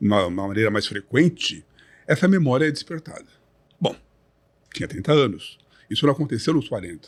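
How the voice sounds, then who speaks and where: A man's voice with vocal fry, at a moderate pace. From Brazil, São Paulo. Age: 60s. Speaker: retired bodybuilder. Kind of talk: podcast interview. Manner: articulate, measured.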